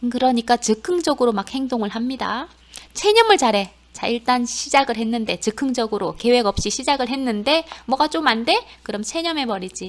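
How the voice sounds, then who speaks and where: This woman's high-pitched voice carries lively intonation and an animated tone at a moderate pace. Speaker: nursing assistant course instructor. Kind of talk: lecture.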